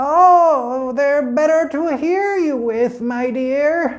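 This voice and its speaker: Putting on a character voice, a man talks at an extremely high pitch and a very slow pace. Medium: read story.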